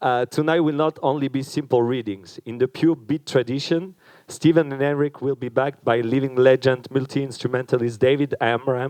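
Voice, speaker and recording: A man's medium-pitched voice with a French accent, fairly even intonation and a moderate pace, hardly any pauses, in a dry, close sound with no echo. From France. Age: young. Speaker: event organizer. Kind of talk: event introduction speech. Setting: stage with audience. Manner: hesitant, with fillers.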